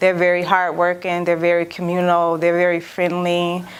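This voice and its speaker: A woman speaks with an American accent. Her pitch is fairly low and her pace moderate. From Milwaukee, Wisconsin, US Midwest. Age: 30s. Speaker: visual artist. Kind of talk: interview. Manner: hesitant, many fillers.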